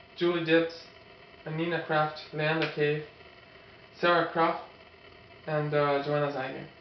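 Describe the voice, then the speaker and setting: This man's voice sits fairly high, with monotone, flat intonation and long, frequent pauses. Light background noise and audible room echo are present. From Brazil. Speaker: professional triathlete, co-host; co-host. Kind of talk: casual sports preview chat. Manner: halting. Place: home room. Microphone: camera far.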